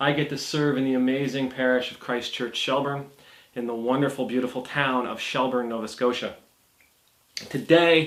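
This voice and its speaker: A man is speaking. The room echo is audible. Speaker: Anglican priest. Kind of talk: casual talk to camera. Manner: hesitant, many fillers.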